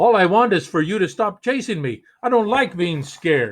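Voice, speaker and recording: A man bellows in a put-on character voice at a moderate pace. His pitch sits high. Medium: read story. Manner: roaring.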